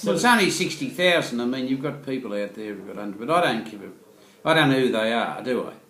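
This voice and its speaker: The speech runs at a very fast pace with lively intonation against noticeable background noise. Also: man, medium pitch for a man. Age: 70s. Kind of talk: interview answer. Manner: quick-witted, jokey.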